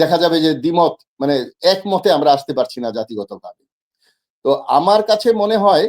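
A man's high-pitched voice with very wide pitch swings, in a dry, close sound with no echo. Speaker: political commentator. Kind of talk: talk show discussion.

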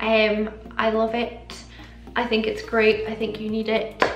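Light background noise and audible room echo accompany a woman speaking. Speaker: beauty vlogger. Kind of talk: casual vlog chat. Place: home room.

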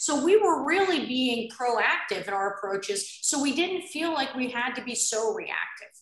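Audible room echo surrounds the voice. A woman speaks at a high pitch and a moderate pace. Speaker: nurse care manager. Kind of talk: panel discussion. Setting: video call. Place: home room. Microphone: video call.

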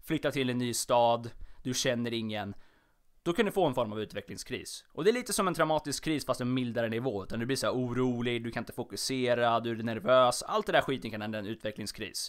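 In a very clean recording with a silent background, a man of medium pitch talks at a fairly quick pace with ordinary pitch variation. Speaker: podcast host. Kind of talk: solo casual monologue. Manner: stumbling over words; animated, chatty.

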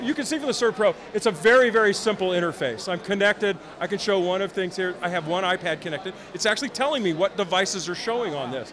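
Very fast speech with hardly any pauses and lively intonation runs over noticeable background noise. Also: man, high pitch for a man. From Chicago. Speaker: company representative at trade show. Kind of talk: product demo. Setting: trade show floor. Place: hall. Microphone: handheld.

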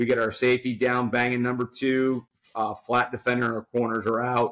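Someone with an American accent speaks at a moderate pace in a monotone, flat intonation. The background is quiet. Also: man. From New Jersey. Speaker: football coach. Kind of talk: casual chat.

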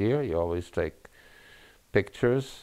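A man speaks against a quiet background. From Czechoslovakia, raised in New York. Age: 80s+. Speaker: rabbi. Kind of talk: oral history interview. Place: home room.

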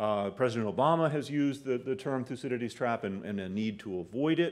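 Over a quiet background, a man with an American accent lets his pitch swing very widely. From US West Coast, San Francisco Bay Area; US West Coast. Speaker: professor. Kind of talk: lecture. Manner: halting, many fillers and repetitions. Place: meeting room. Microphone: podium.

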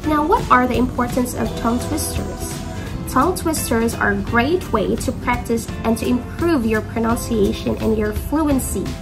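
Clear music sounds in the background while a woman talks at a moderate pace. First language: not English. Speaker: English teacher. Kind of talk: classroom lesson to students. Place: home room. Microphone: phone near.

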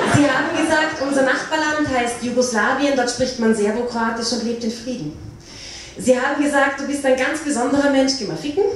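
Audible room echo and light background noise surround the voice. The pace is moderate, with ordinary pitch variation. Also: woman, high pitch for a woman. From Austria. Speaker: slam poet. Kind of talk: poetry slam performance. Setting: live stage. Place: hall.

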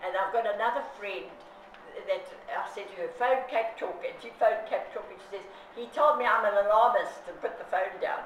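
At a moderate pace, the voice carries audible room echo along with light background noise. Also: woman. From South Africa. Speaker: consumer activist. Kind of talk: interview. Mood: indignant, strongly opinionated. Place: home room. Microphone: camera far.

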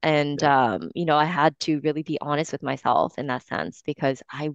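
At a moderate pace, a woman speaks with a very deep, low pitch and vocal fry, in a dry sound with no echo and a quiet background. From Japan. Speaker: wellness coach and entrepreneur; wellness coach. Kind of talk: interview. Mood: warm, reflective. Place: home room. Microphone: headset.

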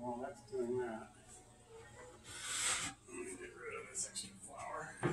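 A man's voice with audible room echo, loud background noise, and long, frequent pauses. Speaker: home cook. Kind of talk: casual cooking demo. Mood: relaxed, casual. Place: kitchen.

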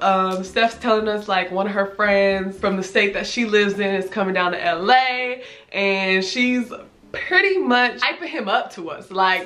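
A woman with a Southern California accent speaks at a moderate pace and medium pitch, with ordinary pitch variation, a fairly bright tone, and faint background noise. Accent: American, urban Southern California.

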